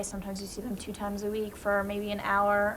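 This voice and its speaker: A woman speaks at medium pitch in an American accent. Noticeable background noise and audible room echo come through. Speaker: college student, high school alumna. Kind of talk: panel discussion.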